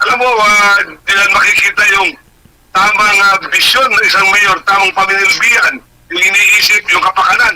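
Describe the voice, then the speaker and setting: A man's raised, projected voice, high for a man, with fairly even intonation at a moderate pace over noticeable background noise. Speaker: radio co-host. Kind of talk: casual radio talk. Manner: loud.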